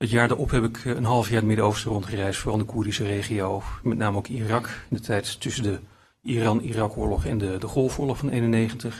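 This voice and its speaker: A man speaks at a fairly quick pace, somewhat breathy. His intonation stays fairly even. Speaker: philosophy lecturer. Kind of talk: lecture. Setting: stage with audience. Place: hall. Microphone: podium.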